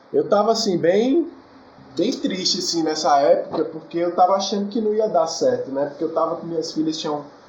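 The intonation here is lively. Noticeable background noise and audible room echo come through. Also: man. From Brazil, Federal District (Brasília outskirts). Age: 20s. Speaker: singer-songwriter. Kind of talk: casual interview.

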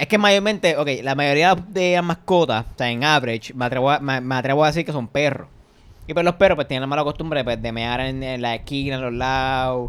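In a Puerto Rican accent, a man speaks at a fairly high pitch and a fairly quick pace, using an animated tone with ordinary pitch variation. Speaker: podcast host. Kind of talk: casual chat.

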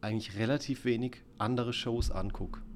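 An ordinary speaking voice with ordinary pitch variation at a moderate pace. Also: man. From southern Palatinate, Germany. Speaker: video artist and musician. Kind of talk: interview.

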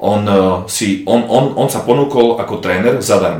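There is audible room echo around a man's voice. He speaks at a moderate pace in a fairly low pitch. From eastern Slovakia. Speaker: bodybuilder. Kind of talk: casual interview.

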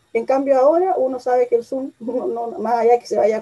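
The recording is dry and close with no echo. A woman talks in a high voice with ordinary pitch variation. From Chile. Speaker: tourism media entrepreneur. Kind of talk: interview.

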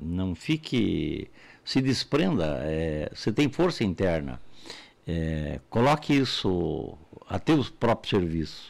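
A man's fairly low voice at a very slow pace, with very wide pitch swings and long, frequent pauses. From Santa Catarina, Brazil. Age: 70s. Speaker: entrepreneur and university founder. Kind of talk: interview.

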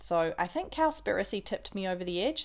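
A woman with a New Zealand accent talks at a moderate pace and medium pitch. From New Zealand, Auckland. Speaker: podcast host, vegan lifestyle. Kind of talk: casual monologue.

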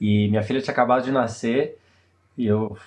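Speaking fairly quickly, a man keeps his intonation monotone and flat. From Brazil. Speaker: theatre director. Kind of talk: casual interview.

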